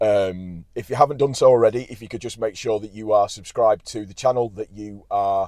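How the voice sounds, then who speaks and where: In a Yorkshire accent, a man with a fairly low pitch and a dark, mellow tone speaks at a fairly quick pace with hardly any pauses, fairly even intonation and big swings in loudness. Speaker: football fan channel host. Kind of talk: post-match fan reaction. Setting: in a car.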